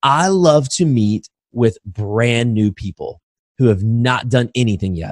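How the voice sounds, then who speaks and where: The sound is dry and close with no echo as a man speaks in an American accent. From Indiana, US Midwest. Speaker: real estate investor and educator. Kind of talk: interview.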